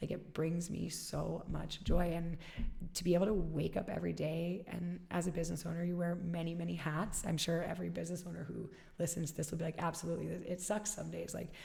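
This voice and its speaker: A woman with an American accent speaks in a gravelly voice at a fairly quick pace. Room echo is audible. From Alaska. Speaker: fitness studio founder. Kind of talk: interview. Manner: animated.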